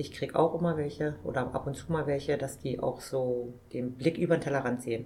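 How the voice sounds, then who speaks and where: A woman with a very deep, low pitch talks at a fairly quick pace with hardly any pauses. Her intonation is fairly even, and background noise is noticeable. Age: 50s. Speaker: supermarket owner-manager. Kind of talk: interview.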